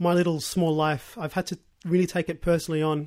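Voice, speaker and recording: In an Australian accent, the speaker moves at a fairly quick pace with fairly even intonation, and the recording is very clean with a silent background. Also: man. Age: 20s. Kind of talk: interview testimony. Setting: radio studio.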